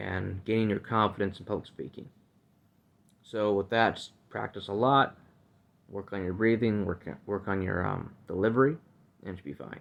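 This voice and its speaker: At a moderate pace, a man speaks with fairly even intonation and a fairly low pitch. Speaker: podcast host. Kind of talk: casual monologue.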